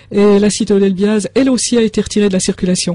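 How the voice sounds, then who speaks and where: A woman's unremarkable speaking voice at a medium pitch and fairly quick pace. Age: 60s. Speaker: author of a health book. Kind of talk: radio interview with call-in.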